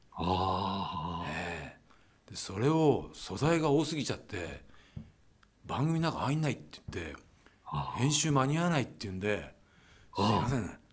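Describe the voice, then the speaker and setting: A man talks at a moderate pace, his pitch swinging very widely and his loudness swinging a lot. Long, frequent pauses break up his speech, and the room echo is audible. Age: 60s. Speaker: radio announcer. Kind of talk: casual chat. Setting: video call.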